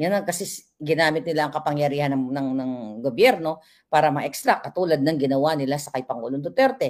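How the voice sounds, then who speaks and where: Fairly quick, lively-toned speech from a woman on a very clean recording with a silent background. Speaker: vlogger / political commentator. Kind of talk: live vlog commentary. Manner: animated.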